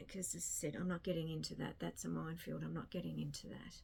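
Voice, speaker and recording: A woman is speaking. She has an Australian accent. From rural Australia. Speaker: book vlogger. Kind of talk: casual chat. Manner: casual, rambling with repetitions.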